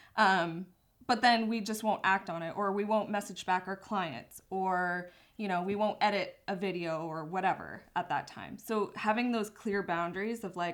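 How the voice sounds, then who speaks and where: The speaker has a slight Canadian accent and fairly even intonation at a moderate pace. The recording is very clean, with a silent background. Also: woman, medium pitch for a woman. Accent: Canadian accent barely noticeable. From southern Ontario, Canada. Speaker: photographer and business owner. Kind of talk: casual chat.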